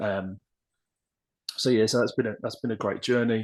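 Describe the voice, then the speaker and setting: Against a quiet background, a man speaks with an English accent. His pitch is fairly low and his intonation monotone and flat. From West Midlands, England (near Birmingham). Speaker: podcast guest, writer on personal development. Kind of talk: casual interview chat. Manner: hesitant, many fillers.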